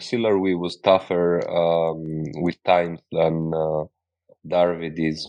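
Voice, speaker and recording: A man with a Greek accent and a very deep, low pitch over a quiet background. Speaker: podcast host. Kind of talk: casual interview chat.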